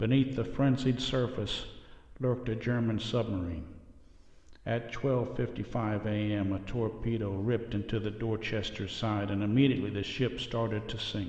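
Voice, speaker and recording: At a moderate pace, a man speaks at a medium pitch in an unremarkable speaking voice. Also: fairly even intonation. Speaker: narrator. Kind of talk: history documentary narration. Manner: solemn, measured and formal, with a steady reverent tone that builds drama.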